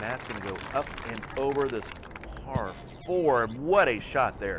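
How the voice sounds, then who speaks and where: A man speaking at a fairly slow pace with music in the background. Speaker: esports commentator. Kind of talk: play-by-play game commentary.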